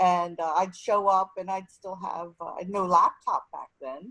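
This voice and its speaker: A woman with a plain, everyday voice speaks at a moderate pace and medium pitch. Her intonation is fairly even, and the sound is dry and close with no echo. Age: 60s. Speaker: nonprofit executive director. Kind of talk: panel discussion.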